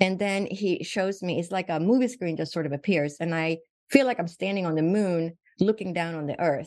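Talking at a fairly quick pace with ordinary pitch variation, a woman with fairly low pitch speaks with a Swedish accent. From Sweden. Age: 60s. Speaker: physician. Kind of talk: interview.

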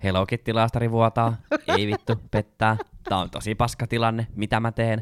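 There's a dry, close sound with no echo as a man speaks at medium pitch. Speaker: podcast co-host. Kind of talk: casual chat.

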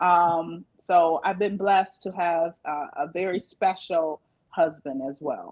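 Speaking very slowly, a woman with an American accent uses a fairly low pitch and fairly even intonation. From Michigan, Flint and Battle Creek. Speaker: judge. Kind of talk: interview testimony. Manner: hesitant with fillers.

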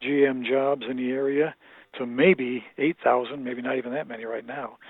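This man's voice sits at a fairly high pitch. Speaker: political panelist. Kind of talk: casual political discussion. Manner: halting, repeats words.

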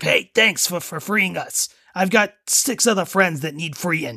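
A man puts on a character voice, high-pitched, with the act delivered in a Brooklyn accent. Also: fairly slow pace. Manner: tough guy.

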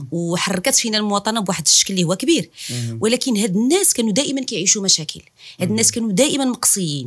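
At a very fast pace, a woman talks in a somewhat breathy, medium-pitched voice with very wide pitch swings. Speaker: podcast host. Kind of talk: interview.

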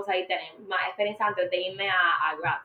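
A woman speaks in an ordinary speaking voice at medium pitch. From Puerto Rico. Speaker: media industry professional. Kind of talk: interview.

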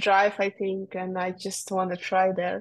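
A woman speaks with a Russian accent in a monotone, flat intonation over a quiet background. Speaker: racing driver. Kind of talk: interview. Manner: halting.

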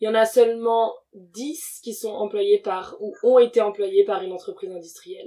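At a moderate pace, a woman speaks in a dark, mellow tone with a fairly high pitch and ordinary pitch variation. She leaves hardly any pauses, and her loudness swings widely. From Congolese descent. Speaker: environmental campaigner and researcher. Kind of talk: interview. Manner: hesitant, many fillers.

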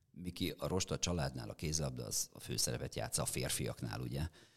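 A man with vocal fry talks at a moderate pace, his intonation lively. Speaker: sports podcast host. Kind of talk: interview. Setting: studio.

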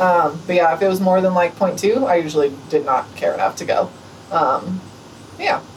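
A woman's voice at a moderate pace, with ordinary pitch variation and noticeable background noise. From New Mexico, Albuquerque. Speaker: thru-hiker and new veterinarian. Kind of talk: casual interview. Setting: hostel.

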